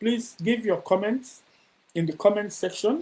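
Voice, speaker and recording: Keeping a moderate pace, a man speaks with ordinary pitch variation. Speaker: DJ and talk show host. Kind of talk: interview. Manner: stammering.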